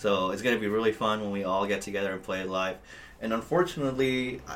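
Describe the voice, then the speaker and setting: A man talks very fast in a fairly low voice. Noticeable background noise runs underneath. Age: 20s. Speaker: metal guitarist. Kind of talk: casual chat. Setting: office.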